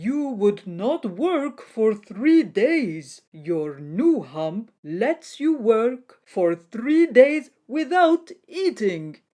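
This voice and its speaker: In a put-on character voice, the speaker goes at a very slow pace with hardly any pauses, fairly high in pitch and with very wide pitch swings. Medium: read story. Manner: stern, authoritative.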